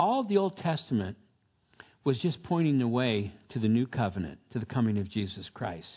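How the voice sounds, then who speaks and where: Somewhat breathy, a man speaks at a moderate pace. His medium pitch shows very wide swings. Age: 70s. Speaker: pastor. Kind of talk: sermon. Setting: church.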